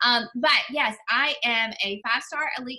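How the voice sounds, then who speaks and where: A woman speaks with a Southern US accent at a high pitch. Her tone is bright and sharp, with ordinary pitch variation. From US South, Mississippi. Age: 30s. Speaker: health and fitness coach. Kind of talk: guest talk on team call.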